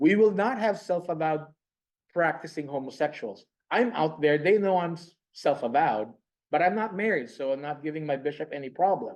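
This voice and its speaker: At a fairly quick pace, a man with a Filipino accent speaks in a fairly high pitch. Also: lively intonation. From Philippines. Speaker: pastor. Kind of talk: conference presentation. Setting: conference room with online audience. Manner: animated.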